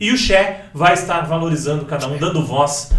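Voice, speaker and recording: Someone male is speaking at a moderate pace. Noticeable background noise runs underneath. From Itapetininga, São Paulo state, Brazil. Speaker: podcast host. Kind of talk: casual interview chat.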